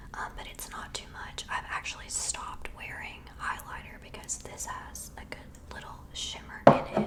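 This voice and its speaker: A woman whispers at a moderate pace with hardly any pauses. Her loudness swings a lot, and background noise is noticeable. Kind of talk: ASMR whispered favorites talk. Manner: whispered.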